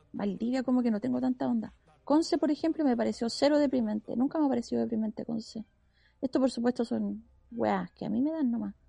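A woman's high-pitched, dark and mellow voice at a very fast pace, with a dry, close sound and no echo. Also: ordinary pitch variation. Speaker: radio host. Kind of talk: casual chat. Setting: outside the studio.

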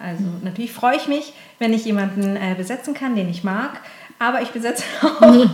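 The speech moves at a fairly quick pace with ordinary pitch variation. There is noticeable background noise and audible room echo. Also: woman, fairly high pitch for a woman. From southern Germany, Konstanz on Lake Constance. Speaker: casting director. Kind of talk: interview. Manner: hesitant, many filler sounds.

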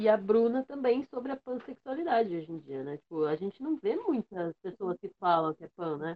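A woman at a medium pitch talks at a moderate pace with lively intonation, using an ordinary speaking voice. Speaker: podcast host. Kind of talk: casual chat.

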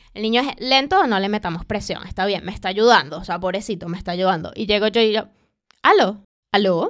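A woman with a fairly high pitch talks with lively intonation. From Venezuela. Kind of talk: casual chat.

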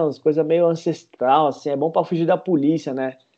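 A man at a moderate pace. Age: 30s. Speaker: parkour instructor. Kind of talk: interview.

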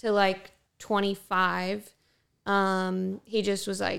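A woman with an American accent and medium pitch at a very slow pace, in a very clean recording with a silent background. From Ontario, southern California. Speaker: real estate agent. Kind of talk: casual chat.

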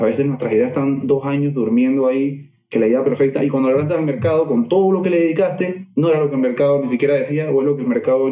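A man's fairly high voice at a very fast pace with hardly any pauses and ordinary pitch variation, over noticeable background noise. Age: 30s. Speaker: therapist or coach. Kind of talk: casual interview chat.

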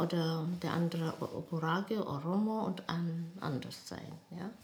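A woman with fairly low pitch and ordinary pitch variation at a very slow pace, amid noticeable background noise and audible room echo. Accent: Ethiopian. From Ethiopia, Addis Ababa. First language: Amharic (speaking German). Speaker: nurse and midwife. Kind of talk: life story interview. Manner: halting.

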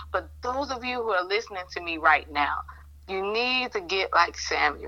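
A woman's voice has a bright, sharp tone at a medium pitch.

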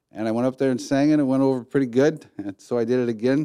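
Talking at a very fast pace with an American accent, a man of medium pitch has a dark, mellow tone and fairly even intonation, recorded very cleanly against a silent background. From Detroit area, Michigan. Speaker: coffee company founder. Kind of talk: casual interview.

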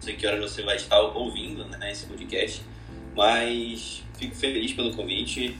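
A man speaks at a fairly slow pace with audible room echo. Music plays in the background. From Belém, Pará, northern Brazil. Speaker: real estate agency owner. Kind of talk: casual chat.

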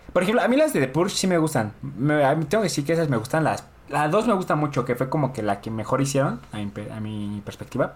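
With very wide pitch swings, a man races along at a very fast pace in a fairly high pitch. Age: 20s. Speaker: podcast co-host. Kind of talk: casual chat.

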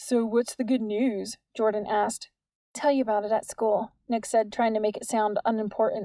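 Over a quiet background, the speaker gives a plain reading aloud, the intonation fairly even.

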